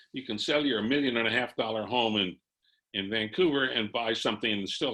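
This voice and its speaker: A man speaks with a bright, sharp tone at a fairly quick pace. His pitch varies in an ordinary way, over a quiet background. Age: 80s+. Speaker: retired economist and columnist. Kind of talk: webinar presentation. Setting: video call. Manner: conversational.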